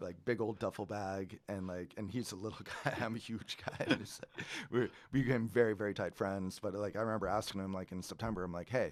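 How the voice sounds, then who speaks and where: A man talks at a very fast pace with a Californian accent. His pitch sits fairly low. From California, Central Coast. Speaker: winery owner. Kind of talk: casual chat. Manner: animated.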